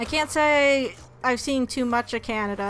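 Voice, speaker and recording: Over music in the background, a woman with a high voice and an American accent speaks fairly slowly with ordinary pitch variation. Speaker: gaming streamer. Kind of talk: casual chat while livestreaming a game. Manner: halting, many restarts and fillers.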